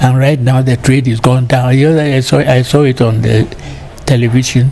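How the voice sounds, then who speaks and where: At a fairly quick pace, the voice runs in a flat monotone with very even loudness over noticeable background noise. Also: man, medium pitch for a man. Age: 80s+. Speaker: retired broadcaster. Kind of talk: interview. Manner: halting.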